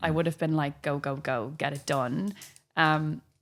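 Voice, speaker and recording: This woman speaks with an Irish accent. Her pitch is very deep and low. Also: very clean recording, silent background. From Ireland. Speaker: physiotherapist and breathwork trainer. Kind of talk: interview answer.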